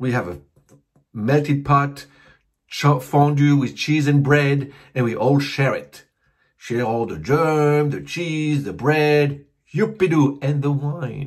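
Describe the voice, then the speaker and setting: At a very slow pace, a man with a fairly high pitch sounds somewhat breathy, with ordinary pitch variation. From Switzerland. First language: French. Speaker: comedy YouTube host. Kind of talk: comedic monologue. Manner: halting.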